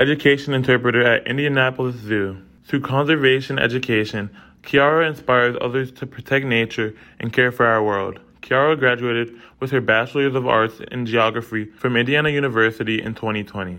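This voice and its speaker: With a normal speaking voice, a man talks at a fairly quick pace, his medium pitch carrying fairly even intonation. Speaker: student podcast host. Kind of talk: interview; scripted intro.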